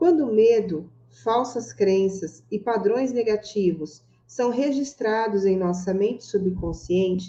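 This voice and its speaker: A woman with a dark, mellow tone speaks very slowly at a medium pitch, her intonation lively. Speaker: book club host. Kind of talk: reading aloud; casual chat.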